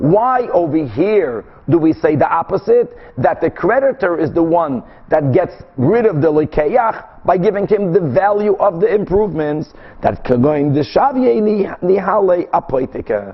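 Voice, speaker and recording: A man's high-pitched voice with very wide pitch swings, very even loudness and a moderate pace. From Brazil. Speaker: rabbi teaching Talmud. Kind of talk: lecture.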